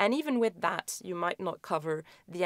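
A woman at a moderate pace, with a quiet background and a dry sound with no echo. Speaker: epidemiology lecturer. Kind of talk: recorded conference talk.

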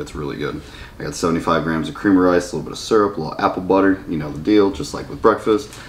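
A voice rushing along at a very fast pace. The pitch moves in an ordinary way over light background noise. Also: man. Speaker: bodybuilder vlogger. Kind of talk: casual vlog chat. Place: home room. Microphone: camera far.

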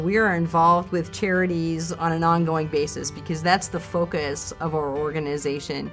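Faint music plays in the background as a woman talks at a fairly low pitch with ordinary pitch variation. Her pace is moderate, with hardly any pauses. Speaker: professional auctioneer. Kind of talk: interview answer.

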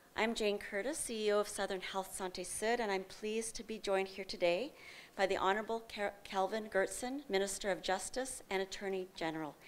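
Ordinary pitch variation at a fairly quick pace. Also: woman. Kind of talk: formal opening remarks. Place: hall. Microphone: podium.

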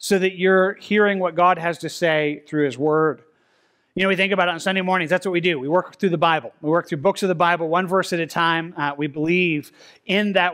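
A man speaks at a fairly quick pace in a high pitch, his intonation fairly even against a quiet background. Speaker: pastor. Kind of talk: sermon. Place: church.

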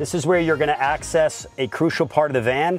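A man at a fairly quick pace with ordinary pitch variation, dry sound with no echo and faint music in the background. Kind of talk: product tour walkthrough. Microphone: lapel.

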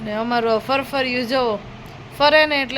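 Noticeable background noise sits under a woman's high-pitched voice with fairly even intonation. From Gujarat, Amreli district. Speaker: family vlogger. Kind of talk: casual vlog narration.

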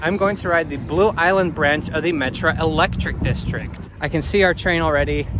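Against noticeable background noise, a man talks at a fairly quick pace in a dry sound with no echo. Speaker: train travel video host. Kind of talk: casual vlog chat. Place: station. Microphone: phone near.

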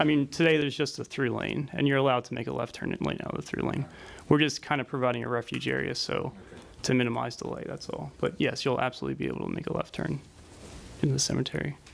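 A man talks at a very fast pace. Light background noise sits behind him. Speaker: traffic engineer. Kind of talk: technical presentation. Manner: soft-spoken. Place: meeting room. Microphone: podium.

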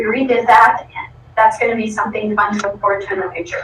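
Here a woman talks with an American accent at a fairly quick pace. Her pitch is fairly high, and there is noticeable background noise. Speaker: school program coordinator. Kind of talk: presentation to school board. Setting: school board meeting.

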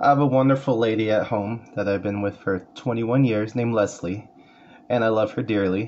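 With a Californian accent, a man talks at a moderate pace and fairly even intonation over light background noise. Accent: Californian American English. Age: 40s. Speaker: paraeducator and community college student. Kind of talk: class self-introduction speech. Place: home room. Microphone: phone near.

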